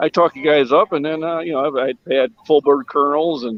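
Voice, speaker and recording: At a moderate pace, a man talks in a normal speaking voice pitched fairly high. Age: 60s. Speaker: military veteran. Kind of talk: casual chat.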